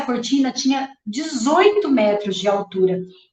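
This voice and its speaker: Audible room echo surrounds a woman's high-pitched voice, which moves in very wide pitch swings. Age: 50s. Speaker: architect. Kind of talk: lecture.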